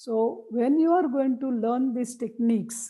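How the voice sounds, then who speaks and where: A woman's fairly high, dark, mellow voice with an Indian accent, ordinary pitch variation and a fairly slow pace. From India (Marathi-speaking). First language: Marathi. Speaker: memory techniques trainer. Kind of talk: lecture.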